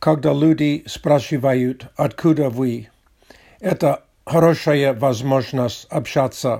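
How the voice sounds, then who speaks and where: A man with a non-native accent speaks very slowly at a fairly high pitch, his intonation fairly even. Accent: foreign accent in Russian. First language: English (speaking Russian). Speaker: podcaster, Russian learner. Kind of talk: solo monologue. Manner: non-native, halting.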